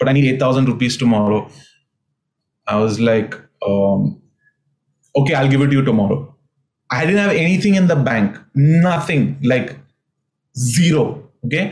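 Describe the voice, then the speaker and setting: At a moderate pace, a man with a medium pitch speaks in a somewhat breathy voice at very even loudness, leaving long, frequent pauses. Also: lively intonation. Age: 40s. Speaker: pastor. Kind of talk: sermon. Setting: remote video recording.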